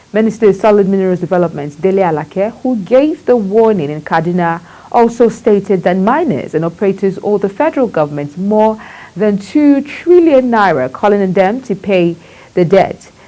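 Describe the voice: With a dark, mellow tone, a woman talks with lively intonation and few pauses. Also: medium pitch for a woman, moderate pace.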